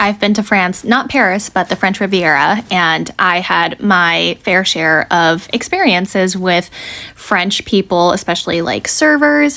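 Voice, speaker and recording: Someone with an American accent speaks at a fairly slow pace with lively intonation and very even loudness. Noticeable background noise runs underneath. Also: woman, medium pitch for a woman. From United States. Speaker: social media creator. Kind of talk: casual commentary video.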